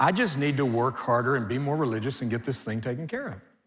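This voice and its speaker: A man talks fairly quickly, and audible room echo is present. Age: 60s. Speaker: pastor. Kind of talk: sermon. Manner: animated.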